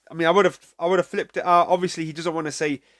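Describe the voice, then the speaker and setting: Recorded very cleanly with a silent background and a dry, close sound with no echo, a man speaks at a fairly high pitch with a British accent. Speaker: music reaction youtuber. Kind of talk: casual reaction commentary. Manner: halting, many fillers.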